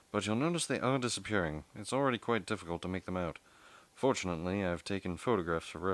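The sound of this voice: In an unforced reading voice, the speaker reads with lively intonation.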